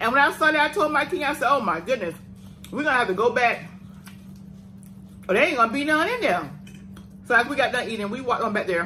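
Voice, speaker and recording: Light noise lies behind the voice of a woman talking. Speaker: eating show co-host. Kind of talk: casual storytelling while eating. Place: home room. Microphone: phone near.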